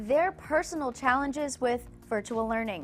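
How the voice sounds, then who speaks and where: Over music in the background, a woman with a high-pitched voice speaks at a fairly slow pace. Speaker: television news reporter. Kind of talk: live shot and stand-up reporting to camera.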